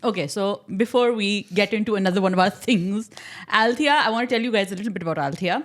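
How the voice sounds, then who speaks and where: A woman with a fairly high pitch. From Pakistan, Karachi. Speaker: podcast host and writer. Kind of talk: casual interview chat.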